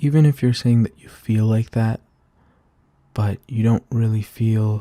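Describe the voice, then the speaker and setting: Soft-spoken and somewhat breathy, a man talks at a fairly slow pace with a dark, mellow, gentle tone and medium pitch, in a dry, close sound with no echo on a very clean recording with a silent background. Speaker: ASMR roleplay creator playing a supportive big brother. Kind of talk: ASMR comforting roleplay, soft-spoken supportive talk to the listener. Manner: soft-spoken, caring, gentle.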